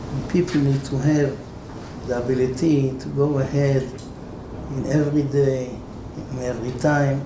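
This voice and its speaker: A man with a non-native accent speaks at a moderate pace in a fairly high pitch, with monotone, flat intonation and long, frequent pauses. Noticeable background noise and audible room echo are present. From Israel. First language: Hebrew. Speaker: rabbi. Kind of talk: Torah lecture.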